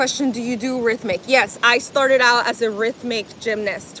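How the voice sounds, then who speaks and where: Speaking in a slight Spanish accent, a woman talks at a fairly slow pace. Her pitch is fairly high and her intonation fairly even. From Miami, US (born in Colombia). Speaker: fitness livestreamer, former gymnastics coach. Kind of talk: live stream chat while exercising.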